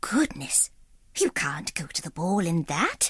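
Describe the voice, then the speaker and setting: A put-on character voice, female-sounding, with a fairly low pitch, a warm tone and a fairly slow pace. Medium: read story. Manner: warm, bustling.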